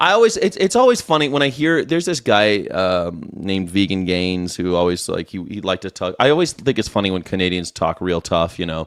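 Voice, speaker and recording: The recording is very clean, with a silent background. A man with an American accent talks at a fairly quick pace with very wide pitch swings. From USA. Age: 40s. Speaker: political commentary streamer. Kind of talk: live stream commentary reacting to clips. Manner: animated, sarcastic.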